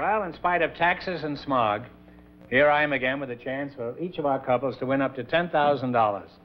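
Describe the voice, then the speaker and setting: Music behind a fairly high-pitched male voice, fairly quick in pace. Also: ordinary pitch variation. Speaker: game show host, comedian. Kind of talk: quick-witted game show banter with contestants.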